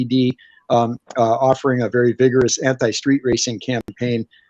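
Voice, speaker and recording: Dry and close with no echo, a man's medium-pitched voice moves at a moderate pace in a monotone, flat intonation. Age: 60s. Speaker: evangelist. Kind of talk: interview.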